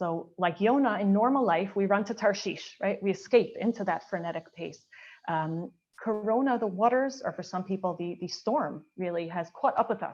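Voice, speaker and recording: A woman with an unremarkable speaking voice holds a medium pitch, moderate pace and ordinary pitch variation. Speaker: Orthodox woman speaker on mikveh. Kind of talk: panel talk / lecture.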